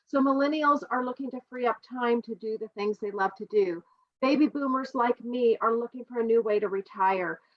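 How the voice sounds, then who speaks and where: A plain, everyday voice from a woman, fairly high-pitched, its pitch moving in an ordinary way. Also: moderate pace. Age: 60s. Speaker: direct sales presenter. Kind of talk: sales pitch.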